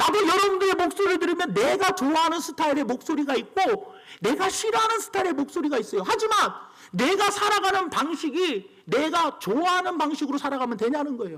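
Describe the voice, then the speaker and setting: A man's extremely high voice with lively intonation at a fairly quick pace, over noticeable background noise. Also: very even loudness. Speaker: pastor. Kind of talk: sermon. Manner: brisk, clear delivery.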